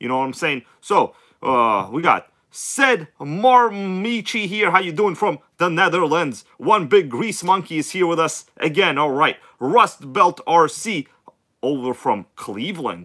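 A man speaks in a bright, sharp tone with very wide pitch swings at a fairly slow pace. The background is quiet. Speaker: RC hobby livestream host. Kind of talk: casual livestream chat reading comments. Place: home room. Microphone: phone near.

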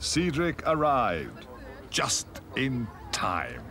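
Very slow speech from a man, with clear noise in the background. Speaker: narrator. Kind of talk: children's TV story narration. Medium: puppet.

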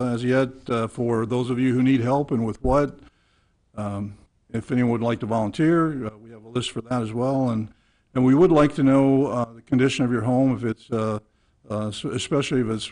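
A man speaks at a fairly quick pace in a dark, mellow tone. His intonation is fairly even, and the background is quiet. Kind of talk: public meeting address. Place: meeting room. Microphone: podium.

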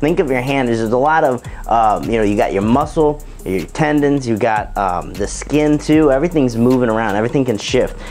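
Over faint background music, a man talks at a fairly quick pace with ordinary pitch variation. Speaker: strength coach. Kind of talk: tutorial. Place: gym.

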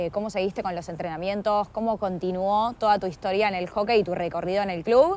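A woman speaks in an ordinary speaking voice at a medium pitch and a moderate pace. Her pitch varies normally, and the sound is dry with no echo. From Argentina. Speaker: interviewer. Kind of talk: interview. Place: garden.

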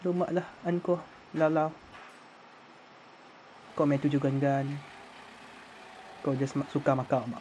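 Speaking very slowly with long, frequent pauses, a man keeps a fairly high pitch and fairly even intonation. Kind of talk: documentary commentary narration.

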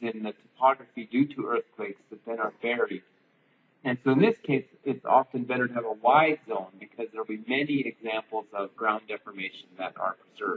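Light background noise sits behind the recording. A man speaks at a moderate pace. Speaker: lecturer. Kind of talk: lecture. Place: classroom.

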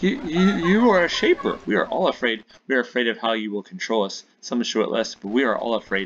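Putting on a shaky character voice, a man talks fairly quickly at a medium pitch with very wide pitch swings. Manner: frightened, stammering.

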